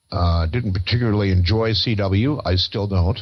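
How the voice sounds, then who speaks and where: Somewhat breathy and fairly low in pitch, a man with an American accent speaks at a moderate pace with ordinary pitch variation. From Pennsylvania. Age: 70s. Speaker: ham radio operator. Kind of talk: interview. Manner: halting, many fillers.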